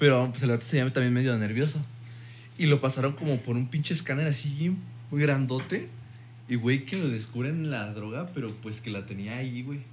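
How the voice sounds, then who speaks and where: A somewhat breathy man's voice at medium pitch, ordinary pitch variation, and a moderate pace. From Mexico. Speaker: podcast guest. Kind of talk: casual chat.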